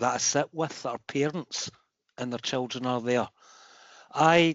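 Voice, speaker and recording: Here is a man with a Glaswegian accent. He speaks at a moderate pace. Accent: Glaswegian Scottish. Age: 50s. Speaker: football fan, foundation member. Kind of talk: meeting contribution. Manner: halting, repetitive.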